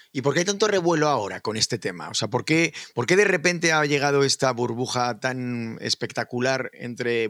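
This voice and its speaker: A man in a normal speaking voice, medium in pitch, talks at a moderate pace with lively intonation and hardly any pauses, the sound dry and close with no echo. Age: 50s. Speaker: podcast host. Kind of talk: casual chat.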